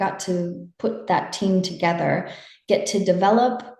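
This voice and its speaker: At a fairly slow pace, a woman speaks at a medium pitch with fairly even intonation in an ordinary speaking voice. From United States. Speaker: international partnerships manager. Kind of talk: interview answer.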